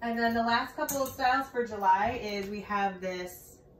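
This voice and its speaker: At a fairly slow pace, a woman speaks with ordinary pitch variation, with light background noise and audible room echo. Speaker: presenter. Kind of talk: product showcase talk. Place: empty room.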